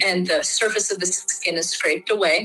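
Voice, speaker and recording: A woman with a Midwestern US accent at a moderate pace, music in the background. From US Midwest (Michigan). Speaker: Kambo practitioner. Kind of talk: casual explanatory conversation. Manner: hesitant, frequent filler words.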